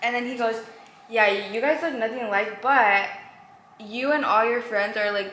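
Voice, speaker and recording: The speech is animated and moderately paced, broken by long, frequent pauses, with noticeable background noise and audible room echo. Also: woman, fairly high pitch for a woman. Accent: Californian. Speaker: lifestyle vlogger. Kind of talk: casual chat.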